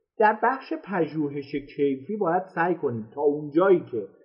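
A plain, everyday voice: a man with a fairly high pitch talks at a moderate pace with lively intonation. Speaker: marketing instructor. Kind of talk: live-streamed lecture. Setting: live stream online.

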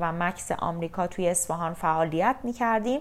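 Her medium-pitched, unremarkable speaking voice moves at a moderate pace with ordinary pitch variation as this woman talks. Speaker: beauty therapist, podcast host. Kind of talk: scripted podcast introduction.

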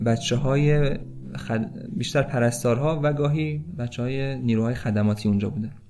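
A man speaking at a moderate pace. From Tehran, Iran. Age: 30s. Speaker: volunteer hospital worker. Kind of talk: storytelling.

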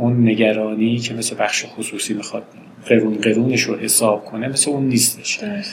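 Noticeable background noise accompanies a man at a moderate pace. His medium-pitched voice keeps a fairly even intonation. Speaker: professor. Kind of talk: interview.

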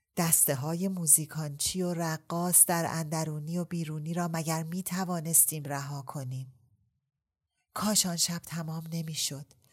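Somewhat breathy speech moves at a moderate pace with monotone, flat intonation. The recording is very clean against a silent background. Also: woman, fairly low pitch for a woman. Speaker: audiobook narrator. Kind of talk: casual interview chat.

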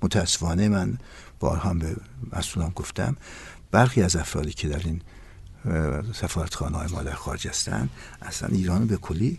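Very deep, low male voice with vocal fry and lively intonation, fairly quick in pace but broken by long, frequent pauses. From Iran, East Azerbaijan (Ahar). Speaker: tourism professor. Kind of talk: interview. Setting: studio.

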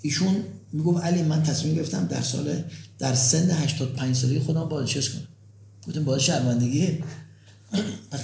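With a dark, mellow tone and vocal fry, a man of fairly high pitch talks at a moderate pace with ordinary pitch variation amid audible room echo. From Tehran, Iran. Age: 60s. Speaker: pharmaceutical company founder and university professor. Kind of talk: interview. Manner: energetic.

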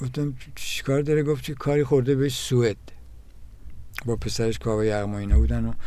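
Speech comes at a very fast pace broken by long, frequent pauses, with ordinary pitch variation and audible room echo. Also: man, medium pitch for a man. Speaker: drummer and music teacher. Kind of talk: interview. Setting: studio. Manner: halting.

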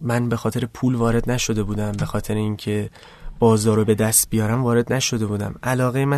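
Monotone and flat, a man's medium-pitched voice rushes along at a very fast pace. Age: 20s. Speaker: fashion designer. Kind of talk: interview. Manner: low energy.

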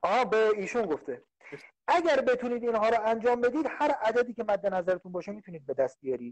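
At a very fast pace, a man speaks with a high pitch and lively intonation. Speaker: business coach. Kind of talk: live stream chat. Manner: soft-spoken. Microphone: choppy connection.

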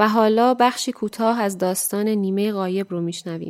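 In a very clean recording with a silent background, a woman with a fairly high pitch uses an ordinary speaking voice at a moderate pace. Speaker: radio show presenter. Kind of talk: scripted narration.

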